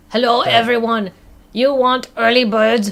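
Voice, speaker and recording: A put-on character voice with a fairly high pitch delivers the lines at a moderate pace. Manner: gruff, lumbering.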